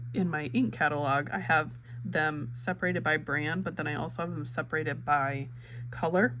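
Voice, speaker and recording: A woman speaks at a very deep, low pitch and a moderate pace, with ordinary pitch variation. Room echo and background noise are both noticeable. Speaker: fountain pen hobby vlogger. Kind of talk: casual vlog talk, ink swatching. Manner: chatty, many fillers (um, uh).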